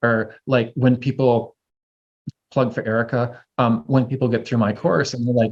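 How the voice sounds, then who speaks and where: A man speaks at medium pitch. His voice is somewhat breathy. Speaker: herbalism teacher. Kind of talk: casual chat. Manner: fast.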